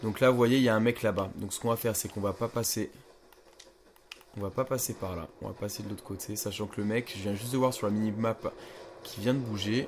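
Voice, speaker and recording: Fairly quick speech from a man with fairly low pitch, over noticeable background noise. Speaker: gaming youtuber. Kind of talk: gameplay commentary. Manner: casual, hesitant with fillers; speaking quietly.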